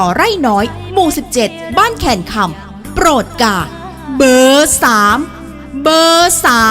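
With music in the background, a woman speaks at a high pitch with very wide pitch swings. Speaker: voice-over announcer for a local election ad. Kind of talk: election campaign spot read.

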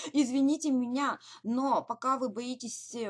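The speech moves at a fairly slow pace over a quiet background. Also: woman. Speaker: direct sales team leader. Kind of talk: webinar. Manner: hesitant fillers. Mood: encouraging, motivational. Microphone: webcam.

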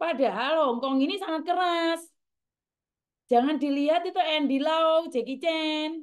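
Loud and shouting, a woman with a strong Javanese accent speaks at a fairly slow pace and an extremely high pitch over a quiet background. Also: ordinary pitch variation. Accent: Javanese-inflected Indonesian, strong. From Java, Indonesia. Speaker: vlogger, former migrant domestic worker; vlogger. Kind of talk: casual monologue to viewers. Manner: loud, sounds like shouting; harsh, not soft. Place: home room. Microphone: phone near.

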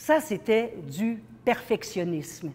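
The woman's intonation is lively. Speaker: keynote speaker. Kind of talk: motivational talk. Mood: earnest, personal storytelling.

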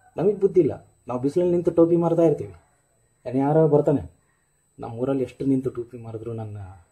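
A man talks at a fairly high pitch. Behind him, music plays. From North Karnataka, India (Ballari). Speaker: struggling actor, video blogger. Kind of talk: video monologue addressing a director. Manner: animated.

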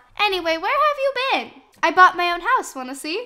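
A squeaky, put-on character voice moves at a moderate pace with very wide pitch swings. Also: woman, extremely high pitch for a woman. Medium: machinima. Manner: folksy, calls others pet names.

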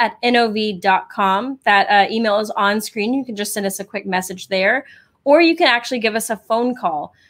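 The background stays quiet. A woman talks at a moderate pace, and her pitch varies in an ordinary way. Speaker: show co-host. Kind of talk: live show hosting announcement. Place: home room. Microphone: studio mic.

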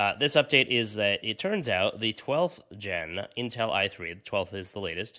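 A man talks at a moderate pace with hardly any pauses, fairly low in pitch and bright and sharp in tone. His intonation is lively, and the background is quiet. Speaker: tech podcast host. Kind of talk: casual chat. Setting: hotel room. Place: home room. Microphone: studio mic.

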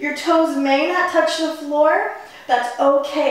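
Amid strong room echo, a woman speaks at a high pitch and a moderate pace. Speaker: fitness instructor. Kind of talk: workout instruction cues. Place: home room.

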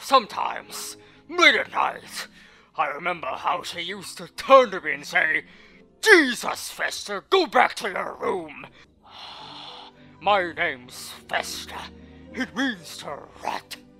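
A man's high-pitched voice at a fairly slow pace, with big swings in loudness, long, frequent pauses and faint music in the background

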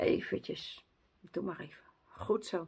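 A woman's voice swings very widely in pitch. The background is quiet. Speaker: vlogger. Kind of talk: casual vlog chat. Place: home room. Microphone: phone near.

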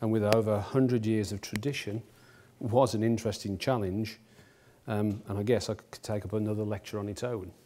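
Speaking at a fairly quick pace, a man uses a fairly low, dark, mellow voice with monotone, flat intonation. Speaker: company executive lecturer. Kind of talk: lecture. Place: hall.

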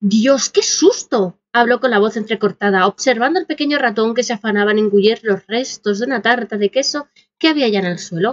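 A woman with a fairly high pitch and a dramatic tone talks at a fairly quick pace with hardly any pauses, her pitch varying in an ordinary way. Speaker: storyteller reading own fiction. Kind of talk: scripted narration of a true-crime horror story, read aloud. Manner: dramatic, suspenseful storytelling, building tension with hushed and startled tones.

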